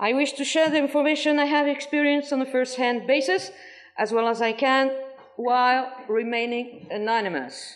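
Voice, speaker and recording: With a French accent, a woman speaks at a moderate pace in a high pitch, using ordinary pitch variation and very even loudness. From France. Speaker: former cult member. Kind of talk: testimony. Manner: halting.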